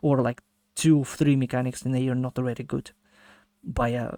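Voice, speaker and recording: A man at medium pitch speaks with monotone, flat intonation, in a very clean recording with a silent background and a dry, close sound with no echo. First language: not English. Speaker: gaming streamer reacting to video. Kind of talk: casual reaction commentary. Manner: halting, many fillers and restarts.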